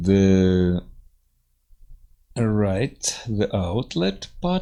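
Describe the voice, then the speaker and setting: His pitch varying in an ordinary way, a man talks in a dark, mellow tone. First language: Russian. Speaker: engineering software teacher. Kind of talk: tutorial. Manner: halting, many fillers.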